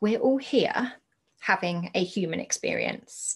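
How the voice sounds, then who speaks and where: Speaking with a British accent, a woman has a medium pitch and ordinary pitch variation. Her voice is somewhat breathy. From UK. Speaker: podcast host and entrepreneur. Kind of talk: solo podcast monologue.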